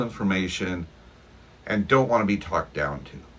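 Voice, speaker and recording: A man talks with lively intonation. Background noise is noticeable. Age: 60s. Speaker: tech educator YouTuber. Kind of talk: casual direct-to-camera talk. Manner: conversational, with fillers.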